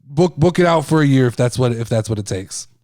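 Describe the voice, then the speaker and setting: A man speaks loud. His tone is animated. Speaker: wrestling podcast host. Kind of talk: casual podcast monologue. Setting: video podcast. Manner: loud, overreactive on air.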